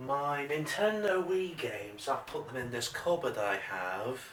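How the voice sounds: The man's voice sits at a medium pitch with ordinary variation and a fairly bright tone. He speaks at a fairly slow pace amid audible room echo.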